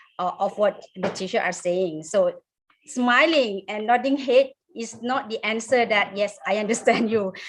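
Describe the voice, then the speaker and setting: A woman speaks at a fairly slow pace in a Thai accent. Her pitch is fairly high, with ordinary variation. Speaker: English teacher. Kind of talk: webinar discussion. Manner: hesitant.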